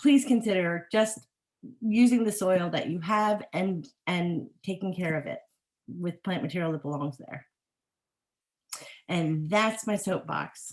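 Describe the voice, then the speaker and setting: Speaking at a fairly slow pace with long, frequent pauses, a woman uses a medium pitch and ordinary pitch variation. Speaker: horticulturist. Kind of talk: webinar talk with Q&A. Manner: animated.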